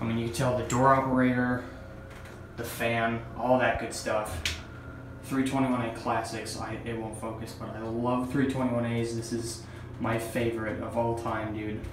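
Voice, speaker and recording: A man talks in a monotone, flat voice against noticeable background noise. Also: medium pitch for a man, moderate pace. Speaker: elevator enthusiast. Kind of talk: casual talk to camera. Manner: whispered.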